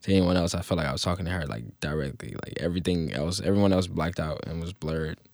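A man talks at a very fast pace with hardly any pauses. His very deep, low voice shows ordinary pitch variation. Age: 20s. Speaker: social media comedian. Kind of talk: interview testimony.

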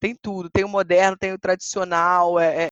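In a dry, close sound with no echo, a woman of medium pitch speaks at a moderate pace with monotone, flat intonation. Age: 30s. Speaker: historian and walking tour guide. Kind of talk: interview.

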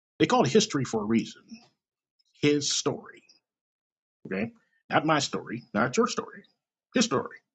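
A somewhat breathy man with a fairly high pitch talks at a moderate pace, his pitch swinging very widely, with long, frequent pauses. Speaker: podcast host. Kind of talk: casual commentary monologue. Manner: animated.

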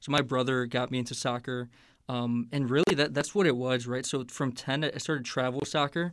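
A man with an American accent talks at a fairly quick pace and medium pitch. His intonation is fairly even, and the recording is very clean with a silent background. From Northwest Indiana (Hammond, near Chicago). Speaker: podcast guest. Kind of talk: casual interview chat.

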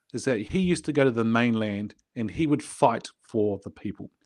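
A man talks with a New Zealand accent and ordinary pitch variation. The background is quiet. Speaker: business coach and podcast host. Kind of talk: casual interview. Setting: podcast recording.

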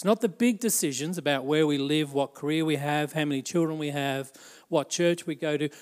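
A man's fairly high voice with an Australian accent at a moderate pace. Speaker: pastor. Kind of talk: sermon. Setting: church. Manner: animated.

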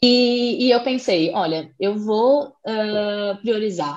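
A woman talks with a fairly high pitch. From southern Brazil, Florianópolis. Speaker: chef. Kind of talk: interview.

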